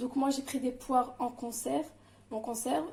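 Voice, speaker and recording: This is a woman speaking. Her pitch is high. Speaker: home cooking channel host. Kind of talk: cooking tutorial. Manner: hesitant, many filler sounds.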